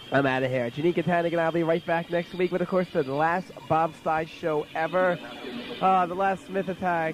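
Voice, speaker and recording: Music plays in the background as a man speaks at a fairly quick pace. His pitch is high, with ordinary variation. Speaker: college radio DJ. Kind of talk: radio show. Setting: radio studio. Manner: loud; animated.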